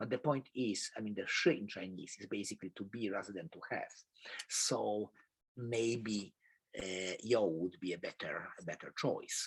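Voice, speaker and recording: At a moderate pace, a man with a fairly low pitch and ordinary pitch variation speaks with big swings in loudness. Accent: Polish. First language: Polish. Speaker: professor. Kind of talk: lecture. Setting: video call.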